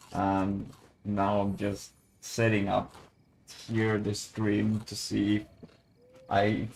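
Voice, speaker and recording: A man speaks at a fairly low pitch. His intonation stays monotone and flat. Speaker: gaming streamer. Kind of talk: casual live stream chat. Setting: home at night, live stream. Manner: speaking quietly; halting, repeats words.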